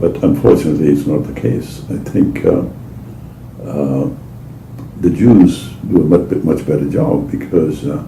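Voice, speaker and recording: Room echo can be heard. There is noticeable background noise. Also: man. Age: 80s+. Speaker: oral history interviewee. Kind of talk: oral history interview. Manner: halting.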